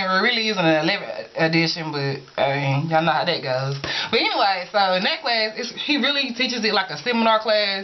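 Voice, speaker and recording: Lively intonation from a woman with an American accent at a fairly quick pace, amid noticeable background noise and audible room echo. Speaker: college student vlogger. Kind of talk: casual vlog. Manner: casual, informal.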